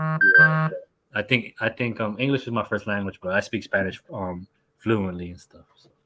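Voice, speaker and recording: With a New York accent, a man speaks at medium pitch and a fairly slow pace. His intonation is lively, and his loudness swings widely. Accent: New York American. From New York, US, Colombian family. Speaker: sports scientist. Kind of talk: casual live stream chat. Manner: halting.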